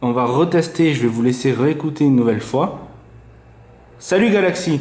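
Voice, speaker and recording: Over audible room echo, a man speaks at a moderate pace with a fairly high pitch and lively intonation. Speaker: tech reviewer. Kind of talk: product review tutorial. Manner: casual, hesitant with fillers.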